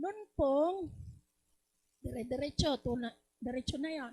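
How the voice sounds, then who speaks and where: Her voice high in pitch yet dark and mellow in tone, a woman speaks at a fairly slow pace with lively intonation. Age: 60s. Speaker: product user giving testimonial. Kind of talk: testimony.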